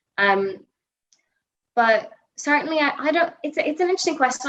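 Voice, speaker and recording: In a Northern Irish accent, a woman talks at a fairly quick pace. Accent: Northern Irish (Belfast). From Northern Ireland, Belfast. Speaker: political journalist. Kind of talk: podcast interview. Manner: hesitant, many fillers and restarts.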